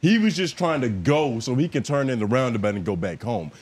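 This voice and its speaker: At a fairly quick pace, a man talks with very wide pitch swings. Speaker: podcast co-host. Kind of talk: casual chat. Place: studio. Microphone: studio mic.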